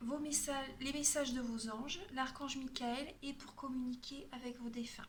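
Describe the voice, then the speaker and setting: A woman with a high voice speaks at a moderate pace with hardly any pauses. Her intonation is monotone and flat, and audible room echo surrounds her. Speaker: tarot card reader and energy healer. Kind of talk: tarot reading guidance.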